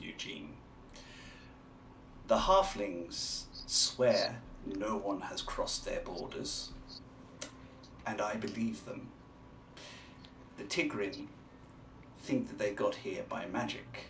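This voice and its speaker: Using a put-on character voice, a man speaks fairly slowly with long, frequent pauses and big swings in loudness over clear background noise. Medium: actual play.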